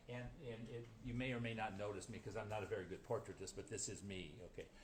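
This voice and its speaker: Here a man talks at a very fast pace with fairly even intonation and medium pitch. Audible room echo surrounds his voice. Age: 70s. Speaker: watercolor painter. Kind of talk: interview. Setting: art gallery. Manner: halting.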